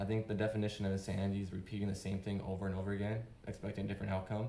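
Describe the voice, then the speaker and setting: Over noticeable background noise and audible room echo, a man speaks very fast at a fairly low pitch, with monotone, flat intonation. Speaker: open-mic speaker, father and skateboarder. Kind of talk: unprepared personal speech. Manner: halting.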